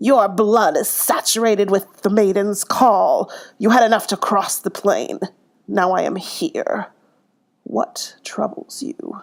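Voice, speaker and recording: A woman puts on a character voice at a fairly high pitch and a fairly slow pace. The recording is very clean, with a silent background. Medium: read story. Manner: cryptic, commanding.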